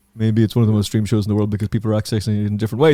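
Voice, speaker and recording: An animated man with an Irish accent. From Ireland. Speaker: podcast host. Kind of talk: casual chat.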